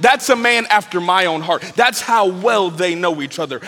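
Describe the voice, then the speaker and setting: An animated man with an American accent and a high pitch speaks with lively intonation over noticeable background noise. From US West Coast, Bay Area California. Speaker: pastor. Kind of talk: sermon. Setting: church stage with audience.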